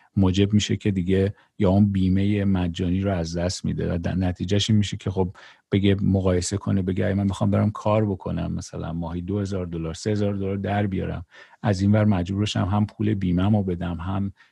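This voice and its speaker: Against a quiet background, a man rushes along at a very fast pace in a fairly low, dark, mellow, somewhat breathy voice with monotone, flat intonation. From Iran (Tehran). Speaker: podcast host. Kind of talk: casual interview chat.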